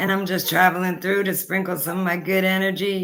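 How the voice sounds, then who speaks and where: Woman with an American accent at medium pitch and moderate pace, in monotone, flat intonation, with music in the background. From New Jersey, US. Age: 50s. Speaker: podcast host and independent creator. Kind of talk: casual self-introduction monologue. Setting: live podcast with music playing. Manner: casual, hesitant with many fillers.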